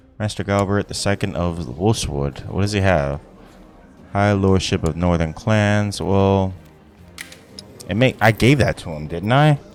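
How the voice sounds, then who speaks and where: Intonation is lively, broken up by long, frequent pauses. Music plays in the background. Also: man, fairly slow pace. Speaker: gaming youtuber. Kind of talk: let's play commentary. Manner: casual, halting.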